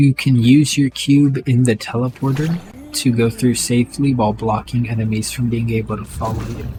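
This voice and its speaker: Music in the background behind a man of medium pitch, at a moderate pace with fairly even intonation. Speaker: video game guide creator. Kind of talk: game tutorial narration.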